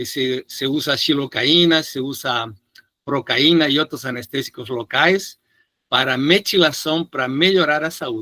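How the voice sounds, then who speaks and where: A man with a Spanish accent speaks at a fairly slow pace, his pitch fairly high and his tone bright and sharp. His pitch varies in an ordinary way, in a dry, close sound with no echo. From Peru. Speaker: physician lecturer. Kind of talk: lecture Q&A answer.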